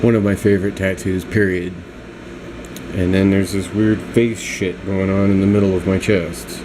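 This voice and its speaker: Noticeable background noise sits behind a man whose very deep, low pitch moves at a moderate pace. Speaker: vlogger showing his tattoos. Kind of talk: casual vlog monologue.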